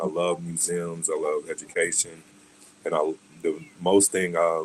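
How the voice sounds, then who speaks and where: A man with an American accent speaks at a fairly slow pace against noticeable background noise. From US South, Arkansas. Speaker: NFT project founder and athlete. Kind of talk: podcast interview.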